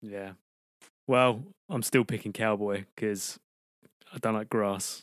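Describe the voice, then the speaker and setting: In a British accent, a man with a fairly low pitch speaks at a very slow pace with fairly even intonation and long, frequent pauses, in a dry, close sound with no echo. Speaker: podcast co-host. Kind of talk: casual comedy chat.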